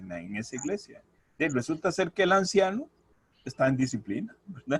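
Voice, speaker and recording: This man's pitch is fairly high and his pace moderate. His voice swings very widely in pitch. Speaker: church deacon. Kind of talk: testimony. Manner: halting, repetitive.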